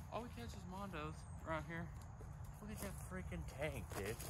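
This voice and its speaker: Loud background noise surrounds a man who speaks fairly slowly. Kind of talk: excited casual vlog chat. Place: waterside.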